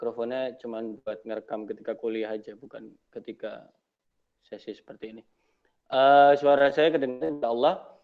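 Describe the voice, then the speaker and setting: Quiet and fairly quick, a man at medium pitch speaks with ordinary pitch variation and big swings in loudness. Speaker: university lecturer. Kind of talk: online Q&A lecture session. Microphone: not using a microphone, voice a bit quiet.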